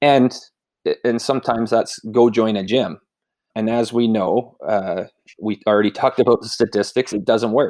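An ordinary speaking voice in a Canadian accent, at a moderate pace with fairly even intonation, the sound dry and close with no echo on a very clean recording with a silent background. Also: man, medium pitch for a man. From rural Saskatchewan, Canada. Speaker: fitness coach. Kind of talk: casual interview.

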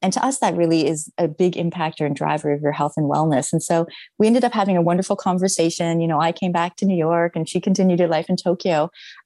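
The voice has a dark, mellow tone and a Canadian accent. It runs at a very fast pace with ordinary pitch variation. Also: woman. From Canada. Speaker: food startup co-founder. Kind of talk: interview conversation.

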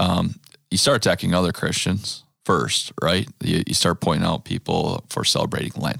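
A man with a very deep, low voice and vocal fry speaks at a moderate pace with very wide pitch swings, in a dry, close sound with no echo. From US Midwest, Wisconsin (Green Bay area). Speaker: churchgoer, father of five. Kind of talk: casual chat.

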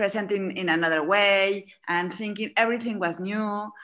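The speech moves at a moderate pace. The voice is an ordinary speaking voice. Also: woman. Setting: video call.

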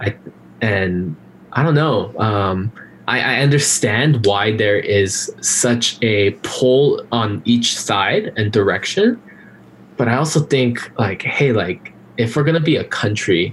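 A man at medium pitch, fairly slow and lively in intonation, over noticeable background noise. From Los Angeles area, California (born in Korea). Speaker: podcast guest, former co-host. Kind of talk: casual interview chat.

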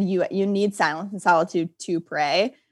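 This woman speaks at a medium pitch with an American accent. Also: very clean recording, silent background. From Michigan, US Midwest. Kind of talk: casual interview. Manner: chatty.

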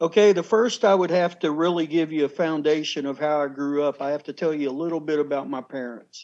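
A man talks fairly quickly with hardly any pauses. His pitch is fairly high, with ordinary variation. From Kentucky. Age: 50s. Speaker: shaman, former TV host. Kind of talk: interview, life story.

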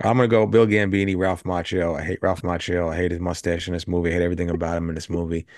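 Over a quiet background, a man talks at a very fast pace with hardly any pauses. His pitch is very deep and low, and his intonation fairly even. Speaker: podcast co-host. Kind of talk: casual chat.

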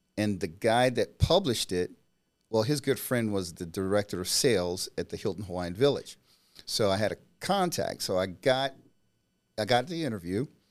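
A man with an American accent, a normal speaking voice, medium pitch, lively intonation and a moderate pace, on a very clean recording with a silent background. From US South, Mississippi (Natchez area). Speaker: new home sales rep. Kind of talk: casual chat.

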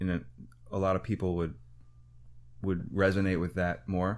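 A man's very deep, low voice moves along at a moderate pace. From rural Wisconsin, US Midwest. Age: 30s. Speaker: jazz musician. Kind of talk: casual interview chat.

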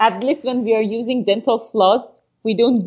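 A woman with a Persian accent speaks at a fairly high pitch in fairly even intonation. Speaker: podcast co-host. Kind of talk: casual chat.

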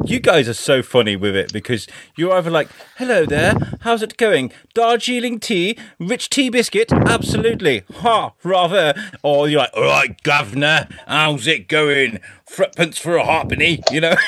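Over noticeable background noise, a man with an English accent speaks at a moderate pace in a high voice with very wide pitch swings. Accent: English accent, between posh and common. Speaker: podcast guest. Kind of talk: casual chat. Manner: animated.

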